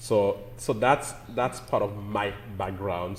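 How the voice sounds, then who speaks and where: Somewhat breathy and fairly low in pitch, a man with a Caribbean accent speaks with ordinary pitch variation. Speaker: pastor. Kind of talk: interview.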